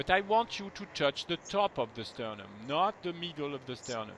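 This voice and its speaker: In a French accent, a man speaks at a moderate pace and a fairly high pitch. His pitch swings very widely, and the sound is dry and close with no echo. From France. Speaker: movement technique teacher. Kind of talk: one-on-one lesson.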